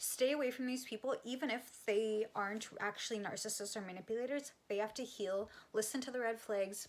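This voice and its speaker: A woman talks in a normal speaking voice, rather high in pitch, with typical pitch movement and a somewhat brisk speed. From Canada. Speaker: psychic medium and energy healer. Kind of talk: casual talk to camera. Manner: casual, conversational, with fillers and swearing.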